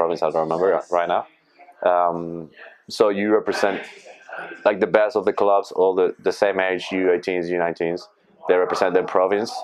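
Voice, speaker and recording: A man with a Spanish accent speaks at a moderate pace in a very deep, low pitch. His intonation is monotone and flat, his loudness very even. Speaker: rugby player. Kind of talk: casual interview.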